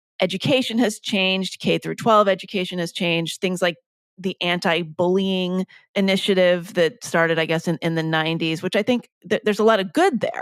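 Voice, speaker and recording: A woman talks at a fairly quick pace in an ordinary speaking voice, at medium pitch and with fairly even intonation. The recording is very clean, with a silent background and a dry, close sound with no echo. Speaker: podcast host. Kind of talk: podcast interview question. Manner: casual.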